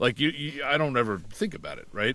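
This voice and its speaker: A man talks at a very fast pace with vocal fry in his voice. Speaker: voice actor. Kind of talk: podcast interview.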